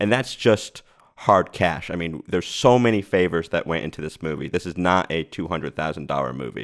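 A man with an American accent speaks at a fairly quick pace with a very deep, low pitch, lively intonation and vocal fry. The recording is very clean, with a silent background. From US Northeast (Rhode Island). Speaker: film writer-director. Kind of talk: casual interview chat.

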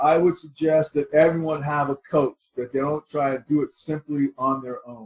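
A man with an American accent speaks in a fairly high, somewhat breathy voice with fairly even intonation, big swings in loudness and hardly any pauses. The sound is dry and close, with no echo. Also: moderate pace. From Texas. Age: 60s. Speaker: wealth management advisor. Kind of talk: panel discussion.

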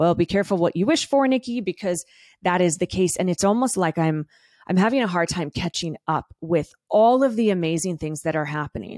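A woman's ordinary speaking voice, fairly low in pitch, with lively intonation and a fairly quick pace, in a dry, close sound with no echo and a very clean recording with a silent background. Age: 30s. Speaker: podcast host and wellness coach. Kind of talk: solo podcast monologue. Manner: casual, conversational with tangents.

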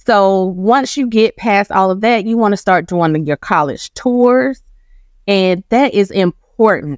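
In a very clean recording with a silent background and a dry, close sound with no echo, a woman with an American accent and an unremarkable speaking voice talks at a fairly slow pace, medium in pitch with ordinary pitch variation. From Georgia (Macon), US South. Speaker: college scholarship consultant. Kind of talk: interview. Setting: studio.

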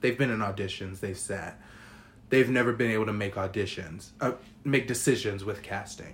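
This speaker has a somewhat breathy voice. The pace stays moderate. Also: man, fairly low pitch for a man. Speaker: podcast co-host. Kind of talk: casual chat. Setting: studio. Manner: animated.

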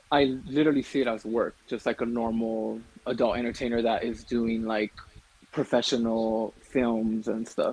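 A man in an American accent, medium in pitch, with monotone, flat intonation. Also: moderate pace. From California. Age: 20s. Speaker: YouTuber and adult content creator. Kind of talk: casual interview.

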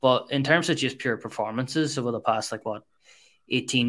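Heard on a very clean recording with a silent background, a man with a plain, everyday voice and medium pitch speaks at a fairly quick pace. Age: 20s. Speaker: football podcast co-host. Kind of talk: casual chat.

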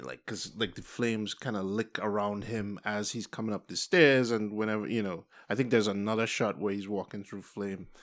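The speaker has a Trinidadian accent and fairly even intonation at a moderate pace. The recording is very clean and the background silent. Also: man. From Trinidad and Tobago. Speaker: film producer and film teacher. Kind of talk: casual film discussion.

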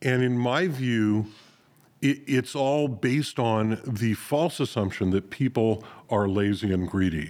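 A man speaks in a normal speaking voice at a medium pitch and a fairly slow pace, with ordinary pitch variation. His loudness is very even, and the recording is very clean with a silent background. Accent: American. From US West, North Hollywood, California. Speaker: podcast host. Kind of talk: casual chat. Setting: studio.

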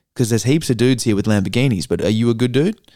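A man with an Australian accent talks at a very fast pace in a dark, mellow tone. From Australia (Perth). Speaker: actor. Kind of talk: casual chat.

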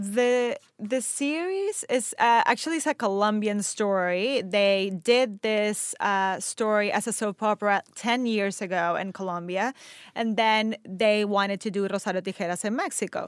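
On a very clean recording with a silent background, a woman talks at a fairly slow pace. Her pitch is fairly high, with ordinary variation. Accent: Spanish. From Venezuela. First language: Spanish. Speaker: actor. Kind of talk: interview conversation.

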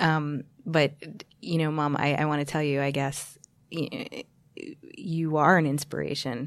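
A woman speaks at a fairly slow pace with long, frequent pauses. Her voice is very deep and low, with fairly even intonation. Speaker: podcast host. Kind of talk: casual chat. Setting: studio.

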